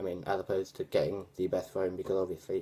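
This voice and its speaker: Speaking very fast, a man with a British accent has a very deep, low pitch, a dark, mellow tone and fairly even intonation. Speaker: tech vlogger. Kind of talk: casual vlog review. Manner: hesitant, many fillers.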